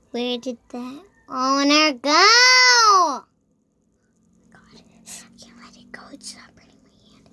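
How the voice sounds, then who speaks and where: A woman uses a put-on character voice, high in pitch. She goes at a fairly slow pace with long, frequent pauses. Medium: machinima.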